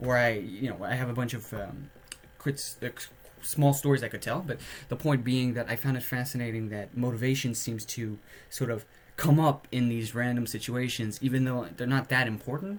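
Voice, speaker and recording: A man speaks at a moderate pace and medium pitch with ordinary pitch variation. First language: French. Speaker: podcaster. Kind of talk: casual monologue. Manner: hesitant, many filler words.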